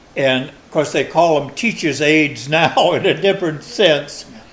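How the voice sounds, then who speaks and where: Speech comes at a fairly slow pace through noticeable background noise. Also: man. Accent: American. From Maine, USA. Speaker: long-time resident interviewed for oral history. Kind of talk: oral history interview answer.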